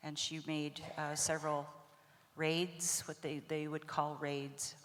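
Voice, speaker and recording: Very slowly, a woman speaks in a very deep, low pitch with monotone, flat intonation. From Blackfeet nation, Montana, US. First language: Blackfeet (speaking French). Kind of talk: storytelling.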